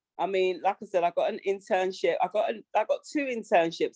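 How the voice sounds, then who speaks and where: The sound is dry and close, with no echo. A woman's voice carries a dark, mellow tone. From London, England. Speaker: radio host. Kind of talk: interview. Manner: casual, many fillers.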